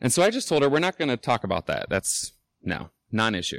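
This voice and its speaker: Speaking at a fairly quick pace with lively intonation, a man with an American accent is captured in a dry, close sound with no echo on a very clean recording with a silent background. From Indianapolis, Indiana, US Midwest. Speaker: recovering alcoholic speaker. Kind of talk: recovery meeting talk to an audience. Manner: casual, with many filler ums.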